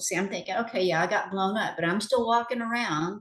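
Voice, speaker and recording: Delivery is fairly quick with lively intonation. Background noise is noticeable. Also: woman. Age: 60s. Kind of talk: testimony. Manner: animated.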